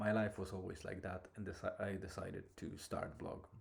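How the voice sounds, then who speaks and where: A man with a non-native accent, very deep and low in pitch, somewhat breathy, in a monotone with flat intonation. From abroad, outside Ireland. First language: not English. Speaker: podcaster. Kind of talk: casual monologue. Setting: in a car.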